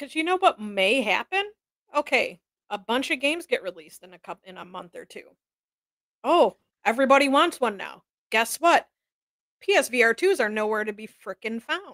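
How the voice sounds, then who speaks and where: With very wide pitch swings and big shifts in loudness, a woman speaks in a high pitch at a moderate pace, leaving long, frequent pauses, in dry, close sound with no echo. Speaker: co-host. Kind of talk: casual live talk show banter.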